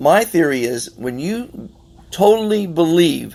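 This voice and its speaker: A man's voice with very wide pitch swings. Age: 60s. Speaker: podcast host. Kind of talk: casual interview chat. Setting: on a yacht. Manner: halting, with many restarts.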